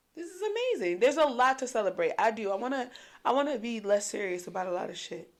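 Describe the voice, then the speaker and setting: A woman speaks very fast in a high, animated voice. Her pitch swings very widely and her loudness shifts a lot. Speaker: podcast co-host. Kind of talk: casual chat.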